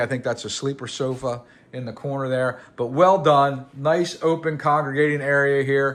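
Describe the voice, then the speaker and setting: A man is speaking. His pitch is fairly high. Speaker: realtor. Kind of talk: property tour video. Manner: casual, hesitant fillers.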